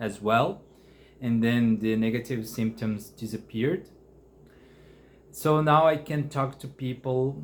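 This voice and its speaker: A man speaks at a very slow pace with a Brazilian Portuguese accent. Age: 30s. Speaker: mental health vlogger. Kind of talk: personal testimony. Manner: halting, many fillers and restarts.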